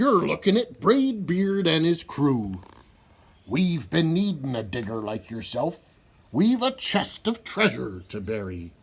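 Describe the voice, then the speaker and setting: Using a put-on character voice, a man speaks at a fairly high pitch and a fairly slow pace in a very clean recording with a silent background. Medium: read story. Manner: loud, bellowing.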